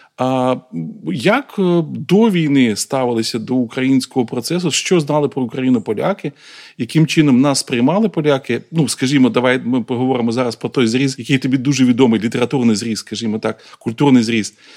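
A man with a medium pitch and ordinary pitch variation talks fairly quickly. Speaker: podcast host. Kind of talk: interview. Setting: outdoors at a military training ground.

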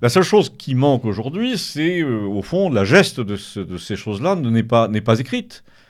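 The pitch swings very widely at a fairly slow pace, with hardly any pauses. The recording is very clean, with a silent background. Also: man, medium pitch for a man. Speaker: author. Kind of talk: radio interview.

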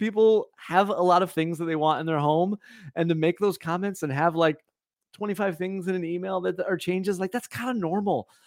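With a Midwestern American accent, a man speaks at a fairly quick pace in a high pitch. The recording is very clean, with a silent background. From US Midwest (Indiana). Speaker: residential home designer. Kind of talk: live Q&A chat. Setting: livestream.

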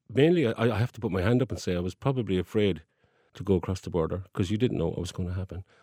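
In a very clean recording with a silent background and a dry, close sound with no echo, a man with a very deep, low pitch and a dark, mellow tone speaks at a very fast pace. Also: ordinary pitch variation. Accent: Cork. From Ireland, Cork. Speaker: folk singer. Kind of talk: casual chat.

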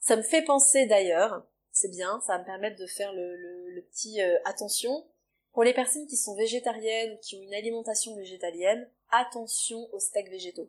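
At a moderate pace, a woman with a fairly high pitch talks in a normal speaking voice with ordinary pitch variation. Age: 30s. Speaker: nutrition therapist and naturopath. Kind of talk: interview, explaining advice.

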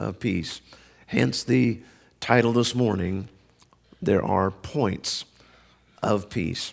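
Using vocal fry, a man speaks at a very slow pace with long, frequent pauses and very wide pitch swings. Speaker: preacher. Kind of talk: sermon. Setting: church. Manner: joking, casual.

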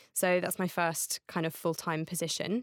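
A woman's fairly low voice, an ordinary speaking voice, at a fairly slow pace with fairly even intonation, dry and close with no echo, in a very clean recording with a silent background. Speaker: advertising creative. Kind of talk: casual interview.

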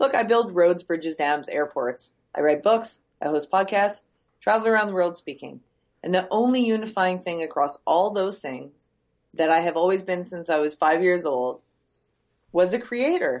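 A woman with a Canadian accent and a plain, everyday voice, fairly low pitch, lively intonation and a moderate pace. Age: 40s. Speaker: entrepreneur. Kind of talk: podcast interview.

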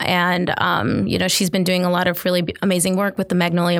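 A woman's fairly low voice, monotone and flat, at a fairly quick pace. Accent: American. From Detroit, Michigan, US. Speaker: designer and entrepreneur. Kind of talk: interview conversation. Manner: casual with many filler words.

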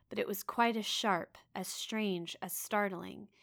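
Pitch moves in an ordinary way. The text is read aloud in a natural voice.

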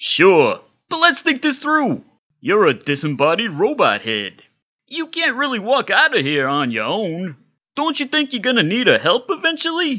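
A put-on character voice, fairly high in pitch, moves along at a moderate pace. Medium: audio drama. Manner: fast, breezy, wisecracking.

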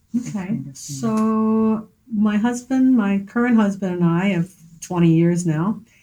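A woman with an American accent at medium pitch, speaking at a fairly slow pace with ordinary pitch variation, music in the background. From Philadelphia. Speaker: artist and art teacher. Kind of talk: interview. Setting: gallery.

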